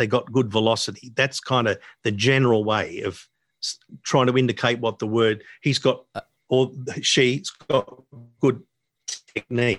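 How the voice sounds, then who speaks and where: Dry and close with no echo, a man with an Australian accent speaks at a medium pitch and moderate pace, leaving long, frequent pauses. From Sydney, Australia (Northern Beaches). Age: 70s. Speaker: jazz guitarist and music educator. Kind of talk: casual interview.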